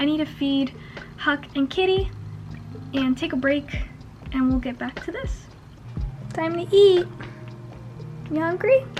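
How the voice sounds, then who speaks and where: Over music in the background, a woman talks at a fairly slow pace with long, frequent pauses. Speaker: illustrator and comic writer vlogger. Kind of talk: casual vlog monologue. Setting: at home, on her bed at night.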